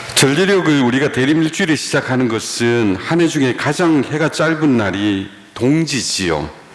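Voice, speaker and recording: A man's fairly high voice at a moderate pace with lively intonation, very even loudness, and hardly any pauses, plus audible room echo and noticeable background noise. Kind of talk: lecture.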